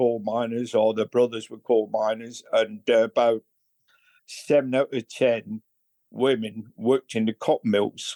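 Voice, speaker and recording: In a northern English accent, a man speaks fairly slowly with a dark, mellow tone. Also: dry, close sound with no echo. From northern England, Bolton near Manchester. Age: 80s+. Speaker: recovering alcoholic. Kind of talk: interview testimony. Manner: halting.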